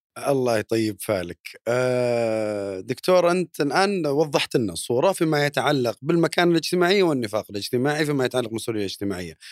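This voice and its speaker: With hardly any pauses, a man talks at a fairly quick pace and medium pitch, swinging very widely in pitch, in a dry, close sound with no echo. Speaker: podcast host. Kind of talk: interview podcast.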